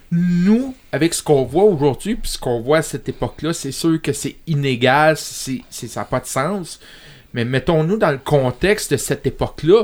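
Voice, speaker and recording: With lively intonation and a fairly high pitch, a man speaks at a moderate pace in an ordinary speaking voice. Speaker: podcast co-host. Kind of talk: casual chat. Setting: studio.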